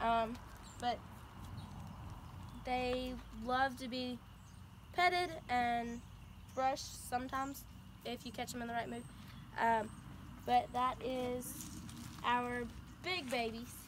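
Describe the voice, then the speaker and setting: A woman with a high pitch at a very slow pace, fairly even intonation, long, frequent pauses, and audible room echo. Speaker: college student. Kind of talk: class presentation. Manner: halting, many ums.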